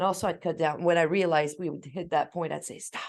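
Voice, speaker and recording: Her animated tone carries a fairly low pitch for a woman, delivered at a moderate pace. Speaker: parent sharing parenting tips. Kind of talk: casual chat.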